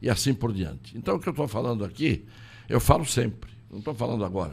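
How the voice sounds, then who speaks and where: A man speaks at a fairly quick pace with lively intonation. His pitch is medium, and vocal fry runs through his voice. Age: 80s+. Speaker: lawyer and political candidate. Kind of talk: interview. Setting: studio.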